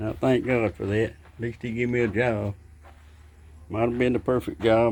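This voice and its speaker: At medium pitch, a man speaks at a moderate pace. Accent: Southern US. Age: 70s. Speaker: gardening vlogger. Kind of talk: casual vlog talk.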